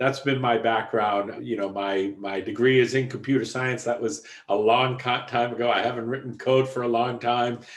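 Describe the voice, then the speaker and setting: At a moderate pace, a man with a strong Boston accent speaks at medium pitch. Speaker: software executive. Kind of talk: podcast interview.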